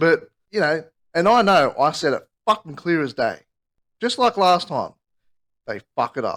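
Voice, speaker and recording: The man's pitch swings very widely as he keeps to a moderate pace. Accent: Australian. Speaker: podcast co-host. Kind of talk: casual chat. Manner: halting.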